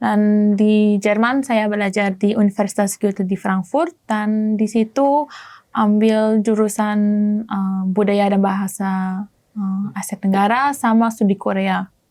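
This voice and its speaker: In a German accent, a woman speaks at a fairly slow pace. Her pitch is medium and her intonation fairly even. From Germany, Moroccan family. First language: German (speaking Indonesian). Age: 20s. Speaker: exchange student. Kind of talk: interview. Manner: halting.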